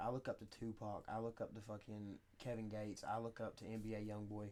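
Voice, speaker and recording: Medium in pitch, this man's voice is heard. He speaks at a fairly quick pace. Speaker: rapper. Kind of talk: casual interview. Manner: occasional stutter.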